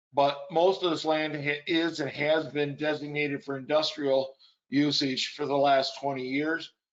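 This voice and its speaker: A man talks at a fairly slow pace with an American accent. His pitch is fairly high, and his intonation stays fairly even. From central Michigan. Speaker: panelist, local resident. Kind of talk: panel discussion. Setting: webinar video call. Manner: loud.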